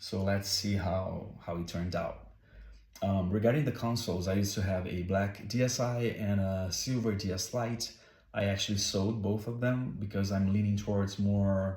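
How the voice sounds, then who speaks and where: A man speaks with a Brazilian accent at a fairly low pitch. His voice is somewhat breathy and moves at a moderate pace. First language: Portuguese. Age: 30s. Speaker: game collector. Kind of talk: casual talk to camera. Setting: home, background noise.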